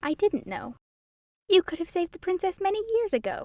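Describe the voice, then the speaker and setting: In a put-on, squeaky character voice, a woman speaks at an extremely high pitch with lively intonation and a fairly quick pace, the sound dry and close with no echo. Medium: read story. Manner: mild, absent-minded.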